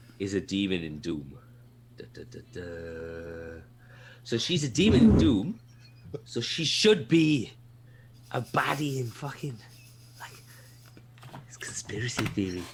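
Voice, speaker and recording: With a Welsh accent, a man speaks at a fairly slow pace and a fairly low pitch, leaving long, frequent pauses. His pitch swings very widely and his loudness swings a lot, with noticeable background noise. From Wales. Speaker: podcast co-host. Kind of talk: casual chat. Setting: live stream. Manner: animated ranting.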